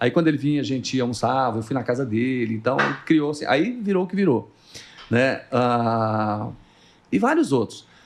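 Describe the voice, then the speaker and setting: Moderate pace and ordinary pitch variation throughout. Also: man, medium pitch for a man. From Brazil, Goiás (Morrinhos). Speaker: TV journalist and news anchor. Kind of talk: casual podcast interview, storytelling. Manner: animated.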